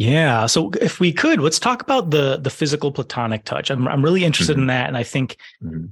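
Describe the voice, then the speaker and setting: Very fast and full of lively intonation, a man speaks at a fairly high pitch with vocal fry. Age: 30s. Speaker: podcast host. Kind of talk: scripted narration; interview conversation.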